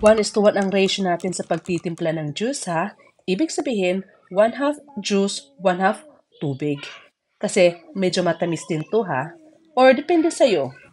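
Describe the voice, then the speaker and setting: Her pitch swings very widely. This woman's voice sits at a medium pitch. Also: moderate pace. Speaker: home cooking vlogger. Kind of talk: cooking tutorial. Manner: casual, chatty.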